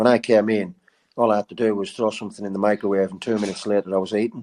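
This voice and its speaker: A man with a fairly low pitch and a dark, mellow tone keeps his intonation fairly even. The sound is dry and close with no echo, over a quiet background. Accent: northern English. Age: 50s. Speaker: charity fundraiser and endurance runner. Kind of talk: casual interview storytelling.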